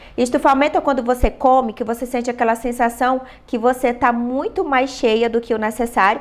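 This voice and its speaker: A woman with a high voice speaks at a moderate pace, her intonation fairly even. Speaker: nutritionist. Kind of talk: live online workshop. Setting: live stream.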